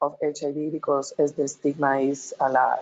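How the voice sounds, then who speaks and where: A woman with a very deep, low pitch. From Peru. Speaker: transgender health advocate on expert panel. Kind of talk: panel discussion testimony. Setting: webinar video call. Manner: halting, many repetitions.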